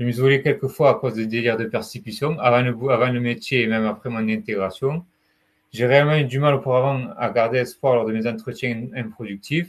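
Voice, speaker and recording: A man with a southern French accent, medium pitch and a fairly quick pace. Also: ordinary pitch variation, quiet background. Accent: warm southern French. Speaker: retail sales advisor with mental illness. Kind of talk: testimony. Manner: halting.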